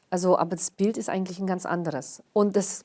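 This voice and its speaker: Against a silent background on a very clean recording, a woman talks at a moderate pace. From Karelia, northern Russia. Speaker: historian and cultural organizer. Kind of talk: interview. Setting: studio. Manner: hesitant, many fillers.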